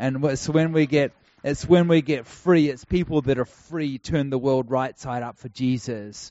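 With a New Zealand accent, a man talks at a moderate pace, his medium-pitched voice fairly even in intonation. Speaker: traveling preacher. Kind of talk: sermon.

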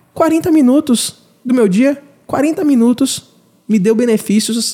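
A man with an extremely high voice speaks with lively intonation. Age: 30s. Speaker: podcast host. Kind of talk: casual interview.

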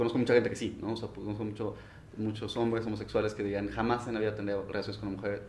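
Fairly low in pitch, a man rushes along at a very fast pace with monotone, flat intonation. Audible room echo surrounds his voice. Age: 30s. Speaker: office administrator. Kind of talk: casual chat.

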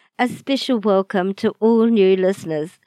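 In a New Zealand accent, a woman speaks at medium pitch with ordinary pitch variation and a moderate pace, in a quiet background with a dry, close sound and no echo. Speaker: podcast host. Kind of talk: podcast intro narration.

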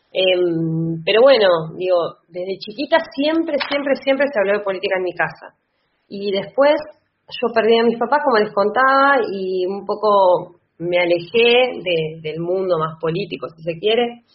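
A woman's ordinary speaking voice at medium pitch, with lively intonation and big swings in loudness. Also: fairly slow pace. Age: 30s. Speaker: lawyer and political candidate. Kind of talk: interview.

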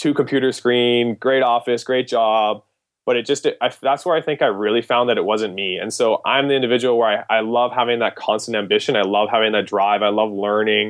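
A normal speaking voice from a man with a Canadian accent, medium pitch, fairly even intonation and a fairly quick pace. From Canada. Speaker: premed applicant guest. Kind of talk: casual interview.

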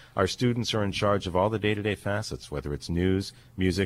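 A man with an American accent, talking at a fairly quick pace with ordinary pitch variation. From Erie, Pennsylvania. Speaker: college radio station director. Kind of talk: casual interview.

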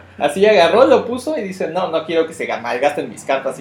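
A man with a fairly high pitch and lively intonation at a fairly quick pace, over noticeable background noise. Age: 30s. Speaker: card game player, co-host. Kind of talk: casual chat.

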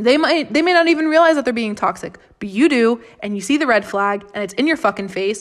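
Talking at a fairly quick pace, a woman with an American accent uses lively intonation. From Florida. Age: 20s. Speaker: podcast host. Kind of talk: casual monologue. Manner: rambling, repeats words; animated, sometimes aggressive.

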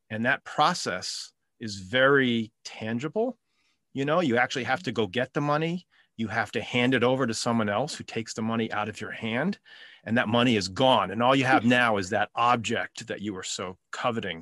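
A man with an ordinary speaking voice, medium pitch, ordinary pitch variation and a moderate pace, in a dry, close sound with no echo and a quiet background. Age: 50s. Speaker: retired father sharing financial advice. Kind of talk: casual chat.

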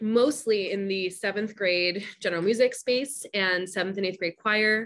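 In an American accent, the speaker talks at a fairly slow pace with ordinary pitch variation. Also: woman. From US Northeast, Long Island, New York. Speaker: educator and author. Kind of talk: interview. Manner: animated.

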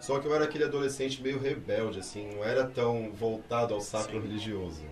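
Fairly quick speech with hardly any pauses and ordinary pitch variation comes through audible room echo and noticeable background noise. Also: man. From Brazil. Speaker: candomblé priest. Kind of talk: casual interview chat.

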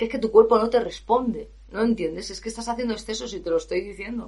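A woman with a fairly high voice and a somewhat breathy quality. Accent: Spanish. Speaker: professional singer and vocal coach. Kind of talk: podcast monologue. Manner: animated.

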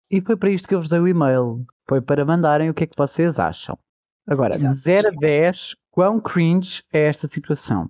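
A man talks in an unremarkable speaking voice at a moderate pace, with fairly high pitch and ordinary pitch variation. His loudness swings widely. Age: 30s. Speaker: podcast co-host, nurse. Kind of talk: casual chat.

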